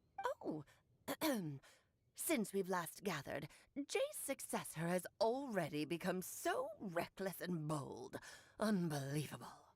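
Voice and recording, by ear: Using a put-on character voice, a woman speaks at medium pitch and a fairly slow pace with long, frequent pauses.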